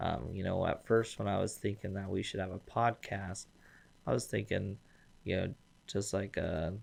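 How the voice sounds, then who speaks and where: With an American accent, a man speaks at a moderate pace in a fairly low pitch, his intonation fairly even and touched with vocal fry. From eastern Washington, US. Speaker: business development manager, podcast host. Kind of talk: casual interview. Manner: hesitant, many fillers.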